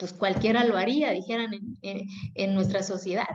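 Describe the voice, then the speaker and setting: A woman speaks with an Oaxacan accent and vocal fry. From Mexico, Oaxaca Zapotec community. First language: Zapotec (speaking Spanish). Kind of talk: interview. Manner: animated, colloquial.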